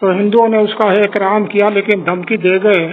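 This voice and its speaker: A man's high-pitched voice with monotone, flat intonation. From Haryana, India. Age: 80s+. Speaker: Partition witness. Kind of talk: interview answer.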